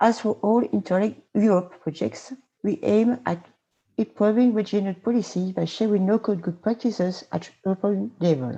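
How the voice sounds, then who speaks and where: With a French accent, a woman speaks at a moderate pace in a medium pitch, her tone dark and mellow and her pitch varying in an ordinary way. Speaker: regional politician. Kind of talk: presentation.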